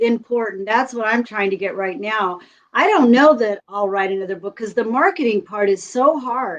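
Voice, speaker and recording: With ordinary pitch movement, an unremarkable speaking voice proceeds at a moderate speed. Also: woman, fairly high pitch for a woman. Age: 60s. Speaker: retired teacher and author. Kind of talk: casual interview chat.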